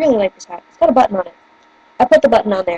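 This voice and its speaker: A woman with a slight northern US accent speaks at a fairly high pitch with lively intonation, in a dry, close sound with no echo and noticeable background noise. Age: 20s. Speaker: vlogger. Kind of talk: casual chat. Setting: webcam video at home. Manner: animated.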